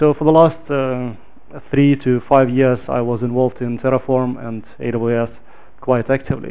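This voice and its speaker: Noticeable background noise behind a man's moderately paced, medium-pitched speech with fairly even intonation. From Ukraine. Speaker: software engineer, meetup speaker. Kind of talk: technical talk. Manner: hesitant, many fillers.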